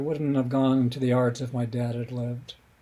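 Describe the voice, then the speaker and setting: A somewhat breathy, dark and mellow voice with an American accent at a very fast pace. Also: man. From US West, Colorado (Denver). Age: 70s. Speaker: author and playwright. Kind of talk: podcast interview. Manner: halting.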